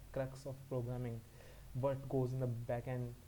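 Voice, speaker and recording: A man with a non-native accent has a dark, mellow tone, somewhat breathy, at a medium pitch. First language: not English. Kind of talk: educational talk to camera.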